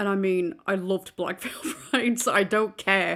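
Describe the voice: A woman's fairly low, fairly bright voice with vocal fry, slow pace and fairly even intonation, on a very clean recording with a silent background.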